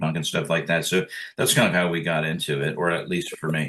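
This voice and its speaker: A man speaks with very deep, low pitch and a bright, sharp tone. His intonation stays fairly even. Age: 60s. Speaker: punk band singer and record producer. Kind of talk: interview. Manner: halting, with many fillers.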